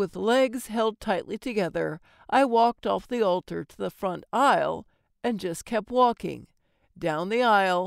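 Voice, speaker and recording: Speaking at a fairly slow pace in an ordinary speaking voice, a woman with a medium pitch and lively intonation is captured in a very clean recording with a silent background and a dry, close sound with no echo. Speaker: audiobook narrator and voice actor. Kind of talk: audiobook narration of a humorous first-person story. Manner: warm, confiding tone addressing listeners as dearies.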